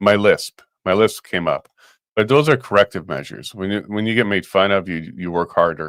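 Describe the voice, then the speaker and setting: An ordinary speaking voice moves at a fairly quick pace with ordinary pitch variation. The very clean recording has a silent background and a dry, close sound with no echo. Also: man, fairly low pitch for a man. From Canada (Winnipeg, Saskatoon). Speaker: talk show co-host. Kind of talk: casual chat.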